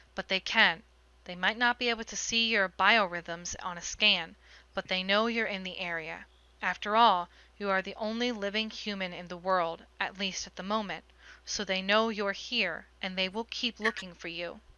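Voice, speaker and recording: A female-sounding put-on character voice speaks at a medium pitch and a moderate pace. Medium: read story. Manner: precise, deadpan.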